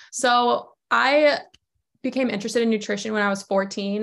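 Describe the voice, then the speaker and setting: A woman speaks at medium pitch with an American accent and fairly even intonation. Hers is an ordinary speaking voice. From US South, Georgia. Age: 20s. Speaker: sports nutritionist. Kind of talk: casual interview.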